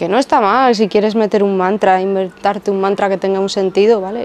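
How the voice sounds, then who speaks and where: Over noticeable background noise, a woman with a medium-pitched voice speaks at a fairly quick pace in a monotone, flat way. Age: 30s. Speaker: former yoga teacher and video creator. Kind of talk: casual monologue to camera.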